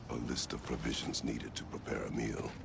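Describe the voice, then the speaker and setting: A man's put-on character voice at a fairly quick pace, over loud background noise. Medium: machinima. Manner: terse, grave.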